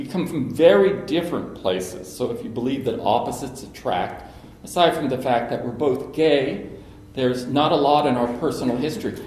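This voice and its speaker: Speaking with an American accent at a fairly quick pace, a medium-pitched man uses lively intonation amid audible room echo and noticeable background noise. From Cincinnati, Ohio (US Midwest). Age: 60s. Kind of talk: personal talk to an audience.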